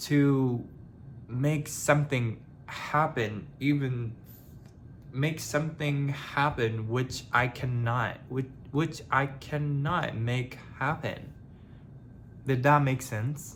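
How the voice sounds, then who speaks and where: At a very slow pace with long, frequent pauses, a man speaks at medium pitch in a somewhat breathy voice with fairly even intonation. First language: not English. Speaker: vlogger. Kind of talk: personal vlog monologue. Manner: halting; casual.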